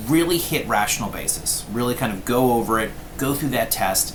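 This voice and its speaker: A man's speech carries audible room echo, along with noticeable background noise. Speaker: law professor. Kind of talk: lecture. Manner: fast.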